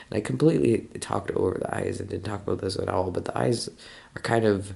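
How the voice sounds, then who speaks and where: A man mumbles in a fairly low voice with a dark, mellow tone and ordinary pitch variation. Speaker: amateur digital artist, video creator. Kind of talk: casual speed-draw commentary. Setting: home apartment. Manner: quiet, holding voice down early morning; tends to mumble, trying to enunciate.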